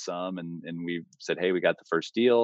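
In an American accent, a man with a very deep, low pitch talks at a fairly quick pace with fairly even intonation, the sound dry and close with no echo. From Texas, Austin. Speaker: real estate investor. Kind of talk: interview.

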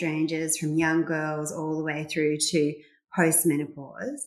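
Rather slow female speech amid audible room echo. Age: 40s. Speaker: gynaecologist. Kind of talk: interview.

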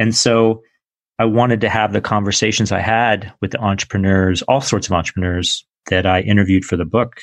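Here is a man with an unremarkable speaking voice and a fairly low pitch, going at a fairly quick pace. His loudness stays very even and his intonation fairly even, with a quiet background. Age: 40s. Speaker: entrepreneur and author. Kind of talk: interview. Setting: remote recording from home.

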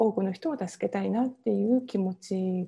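A woman with a dark, mellow tone and a somewhat breathy voice speaks at a moderate pace. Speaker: Ayurveda coach and entrepreneur. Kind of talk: interview.

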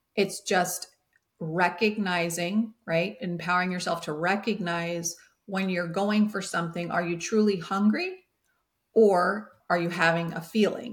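Somewhat breathy and at a medium pitch, a woman speaks at a fairly slow pace with fairly even intonation. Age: 50s. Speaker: holistic health coach, former educator. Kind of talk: casual interview chat.

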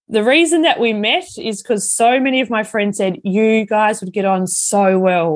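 Speaking at a fairly slow pace, a woman uses a medium-pitched voice with ordinary pitch variation. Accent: Australian. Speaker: wellbeing speaker and coach. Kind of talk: personal storytelling monologue.

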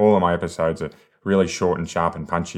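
Speaking very fast with an Australian accent, a man has a very deep, low pitch. The background is quiet. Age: 40s. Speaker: sales coach and podcast host. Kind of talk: solo podcast monologue, coaching. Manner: energetic, conversational.

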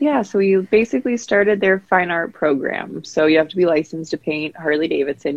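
A woman with an American accent at a fairly quick pace, with ordinary pitch variation. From US West Coast, San Diego. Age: 20s. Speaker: painter. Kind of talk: casual interview.

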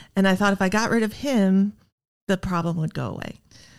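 A woman speaks with a Midwestern American accent at a medium pitch, using ordinary pitch variation. The recording is very clean, with a silent background. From US Midwest, Iowa. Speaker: recovering alcoholic. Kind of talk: testimony.

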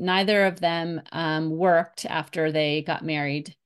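Over a quiet background, a woman with a plain, everyday voice talks at a fairly slow pace with ordinary pitch variation. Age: 50s. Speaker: business coach. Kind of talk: interview.

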